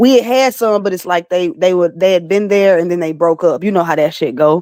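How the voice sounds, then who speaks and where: Speaking at a fairly quick pace, a woman with a slight Southern accent uses a fairly low voice and ordinary pitch variation. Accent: slight southern twang. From Alabama, US South. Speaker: battle rapper and recording artist. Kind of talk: casual interview.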